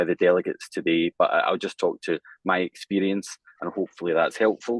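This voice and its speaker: Speaking at a fairly quick pace, a man talks with a strong Scottish accent. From Scotland. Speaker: bank lawyer. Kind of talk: panel introduction. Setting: online webinar.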